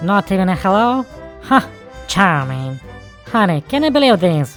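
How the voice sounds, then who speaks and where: A put-on character voice sits at a middle pitch with very wide pitch swings. Clear music plays in the background. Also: moderate pace. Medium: dub.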